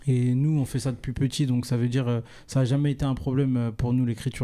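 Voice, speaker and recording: The recording is very clean, with total silence behind it. A male speaker's tone is dark and mellow. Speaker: singer-songwriter in a duo with his brother. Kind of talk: podcast interview.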